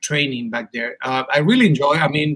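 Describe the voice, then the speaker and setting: This man has a Chilean Spanish accent and a fairly high pitch, speaking at a moderate pace. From Chile, Punta Arenas. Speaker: martial arts instructor. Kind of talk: casual interview.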